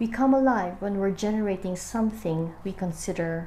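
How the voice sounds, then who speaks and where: Somewhat breathy, dark and mellow tone at a moderate pace. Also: woman. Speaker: book reader and amateur video maker. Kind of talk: casual book reading with commentary to camera.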